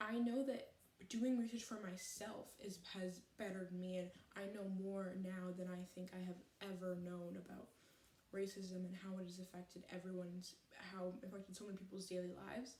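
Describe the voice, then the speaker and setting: Audible room echo surrounds a woman at medium pitch who speaks at a moderate pace in a somewhat breathy, dark, mellow voice with fairly even intonation. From Canada. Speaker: vlogger. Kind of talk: personal vlog monologue. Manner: halting, stuttering; earnest, unscripted.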